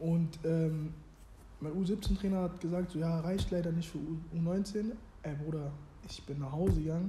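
A man's high-pitched voice with a dark, mellow tone, fairly even intonation, and a fairly slow pace broken by long, frequent pauses. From Germany, Hannover. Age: 20s. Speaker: former youth footballer and clothing brand founder. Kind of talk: casual interview chat.

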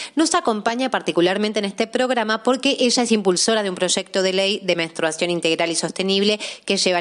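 Over noticeable background noise, a woman talks at a very fast pace with lively intonation and very even loudness. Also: hardly any pauses. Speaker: law student. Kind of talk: scripted narration.

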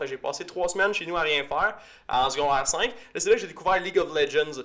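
In a Quebec accent, a man talks at a very fast pace with an animated, bright, sharp tone, a high pitch, and ordinary pitch variation. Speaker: podcast host, physiotherapist. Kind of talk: casual chat.

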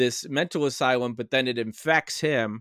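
A man with an ordinary speaking voice, ordinary pitch variation and a moderate pace, in a very clean recording with a silent background and a dry, close sound with no echo. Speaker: guest horror film discussant. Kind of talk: casual chat about a film.

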